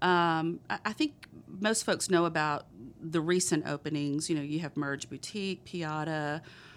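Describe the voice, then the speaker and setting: Someone speaks with a Texan accent on a very clean recording with a silent background. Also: woman. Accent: Texan, noticeable. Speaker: economic development director. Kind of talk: casual interview.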